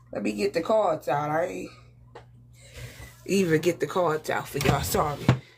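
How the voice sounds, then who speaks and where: With music in the background, a woman with a very deep, low pitch speaks at a moderate pace, her pitch swinging very widely and her speech broken by long, frequent pauses. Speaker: tarot reader. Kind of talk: live tarot reading. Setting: livestream. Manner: casual, conversational.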